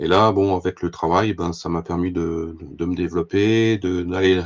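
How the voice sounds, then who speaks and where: A man with a very deep, low pitch and fairly even intonation, at a fairly slow pace. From France, Allier (Moulins). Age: 60s. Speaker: fly-tying expert and fishing tackle professional. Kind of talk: talk to a club audience. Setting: club evening with audience. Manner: hesitant, many fillers and repetitions.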